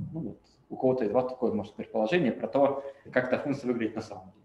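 A man talks at a very fast pace, broken by long, frequent pauses, with big swings in loudness and ordinary pitch variation. Audible room echo and light background noise surround him. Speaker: machine learning researcher. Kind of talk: lecture. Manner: halting. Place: home room. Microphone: webcam.

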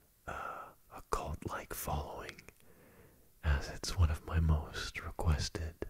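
Soft-spoken and somewhat breathy, a man is whispering. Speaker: ASMR roleplay creator. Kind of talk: casual Q&A chat. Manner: soft close-mic male whisper. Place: home room. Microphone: studio mic.

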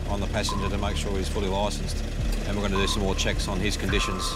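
A man speaks in a dry recording with no echo. Music plays in the background. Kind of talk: on-scene explanation to camera. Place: street.

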